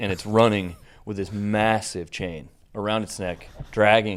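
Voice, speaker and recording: A man talks with an American accent. There is a very clean recording and a silent background. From Kansas. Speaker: bike shop owner and race organizer. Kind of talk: casual chat. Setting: studio. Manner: animated.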